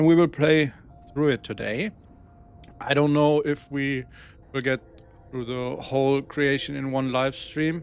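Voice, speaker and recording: Someone speaks with a German accent as music plays in the background. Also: man. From Germany. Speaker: gaming streamer. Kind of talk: live gameplay stream. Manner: halting, searching for words.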